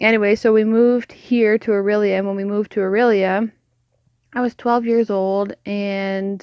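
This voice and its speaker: A woman with a Canadian accent, medium in pitch, flat and monotone in intonation, at a moderate pace. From Canada, northern Ontario. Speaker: podcast co-host sharing faith journey. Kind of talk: casual faith testimony. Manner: casual, filler-heavy.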